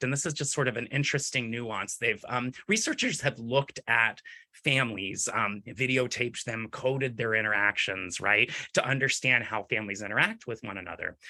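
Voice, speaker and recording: A man talks at a fairly quick pace in a bright, sharp tone against a quiet background. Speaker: clinician presenting on dyslexia. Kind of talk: webinar presentation. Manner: fast-talking; frequent fillers like um and right.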